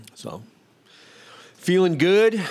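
A man speaks in an energetic tone. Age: 50s. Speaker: podcast host. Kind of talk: casual monologue. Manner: rambling, energetic.

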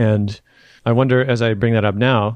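This is a normal speaking voice with fairly even intonation, set against a quiet background. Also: man, dry, close sound with no echo. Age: 40s. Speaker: podcast host. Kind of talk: podcast interview.

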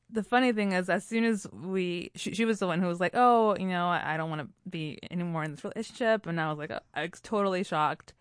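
A woman with an American accent and an ordinary speaking voice talks at a fairly quick pace over a quiet background. Her pitch is medium, with ordinary variation. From Puerto Rico and US. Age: 30s. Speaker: storytelling show founder, guest. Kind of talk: casual interview chat.

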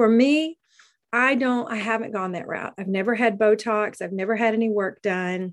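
Against a quiet background, a woman talks at a moderate pace in an ordinary speaking voice. Her pitch varies in an ordinary way. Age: 50s. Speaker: podcast host and background singer. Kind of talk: casual solo monologue. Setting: video recording over Zoom.

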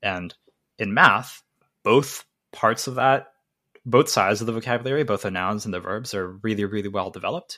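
On a very clean recording with a silent background, a man talks at a fairly quick pace in a bright, sharp tone with ordinary pitch variation. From Korea, moved to US as child. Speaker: independent researcher and software engineer. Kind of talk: interview conversation. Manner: casual with many fillers.

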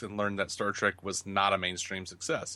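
In a Southern US accent, a man speaks with a bright, sharp tone. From US South. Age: 30s. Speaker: podcaster. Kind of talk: casual chat.

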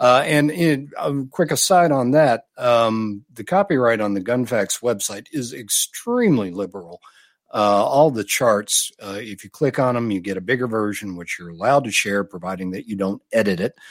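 The speech runs with hardly any pauses and big swings in loudness. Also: man, medium pitch for a man, lively intonation. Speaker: podcast guest, author. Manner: measured, slow speaker.

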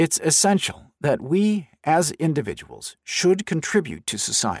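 Very slowly and with lively intonation, a man with a high pitch speaks in a very clean recording with a silent background. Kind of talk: audiobook narration of a nonfiction book. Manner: measured, clear, formal.

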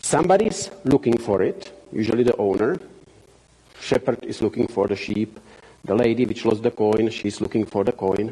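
A man with a Czech accent, lively in intonation and moderate in pace. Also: medium pitch for a man. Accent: Czech-accented English, noticeable. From Czech Republic. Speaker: missionary. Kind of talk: church talk / sermon. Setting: church with audience. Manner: halting, frequent fillers.

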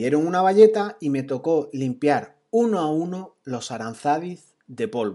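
Against a quiet background, a man with a fairly high pitch and a dark, mellow tone makes very wide pitch swings. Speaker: podcaster on productivity. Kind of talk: storytelling monologue. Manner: casual.

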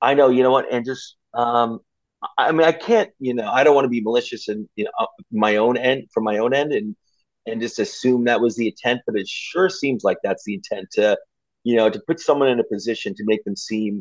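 With an American accent, a man with a normal speaking voice and medium pitch talks at a fairly quick pace and with lively intonation, the sound dry and close with no echo. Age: 50s. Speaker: sports blogger. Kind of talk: casual chat.

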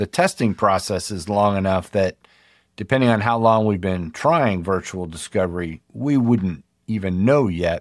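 The recording is very clean with a silent background. A man speaks in a plain, everyday voice at a fairly slow pace with lively intonation. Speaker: podcast host. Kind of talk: interview.

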